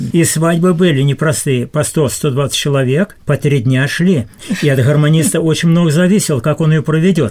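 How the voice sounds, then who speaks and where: Over noticeable background noise, a man with a fairly high pitch talks at a moderate pace, his loudness very even and his pitch variation ordinary. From southern Russia, Khoper river area. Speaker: senior volunteer. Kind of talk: radio interview. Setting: studio.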